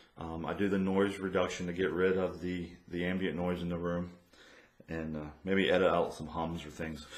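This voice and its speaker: A man speaks in a very deep, low pitch with monotone, flat intonation. Audible room echo surrounds his voice. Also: moderate pace. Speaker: podcaster. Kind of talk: tutorial. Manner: hesitant, many ums. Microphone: USB condenser mic with room echo.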